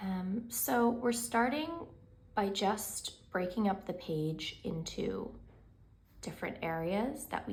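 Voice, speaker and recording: Amid audible room echo, a woman with a calm tone speaks at a very slow pace in a medium pitch marked by very wide pitch swings. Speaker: painting content creator. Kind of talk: tutorial. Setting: home studio.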